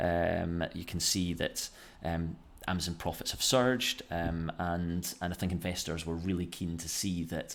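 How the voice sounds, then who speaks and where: In a very clean recording with a silent background, a man with a Scottish accent speaks with a very deep, low pitch. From Scotland. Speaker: finance YouTuber. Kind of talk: casual finance commentary. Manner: hesitant, many fillers.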